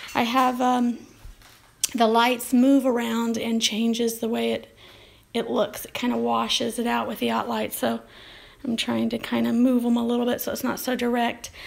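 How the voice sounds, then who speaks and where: With noticeable background noise behind her, a woman delivers her words at a moderate pace. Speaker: artist. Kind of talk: casual live stream talk.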